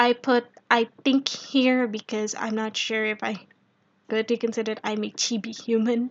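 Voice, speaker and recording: A woman speaks with an Indonesian accent. Her pace is fairly slow. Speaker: streamer. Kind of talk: casual live stream chat. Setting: live stream.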